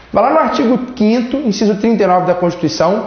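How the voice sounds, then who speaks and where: A man at a fairly quick pace with lively intonation, amid noticeable background noise and audible room echo. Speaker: law teacher. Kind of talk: lecture. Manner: casual, joking.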